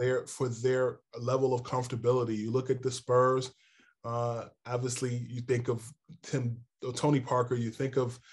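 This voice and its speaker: A man with a New York accent speaks at a moderate pace in a medium pitch. His voice is somewhat breathy, and his intonation is monotone and flat. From New York City and northern New Jersey. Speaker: NBA insider, sports journalist. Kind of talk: interview.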